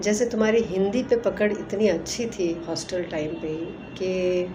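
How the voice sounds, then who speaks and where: Noticeable background noise and audible room echo surround this woman's voice. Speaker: old hostel friend. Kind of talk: recorded video greeting.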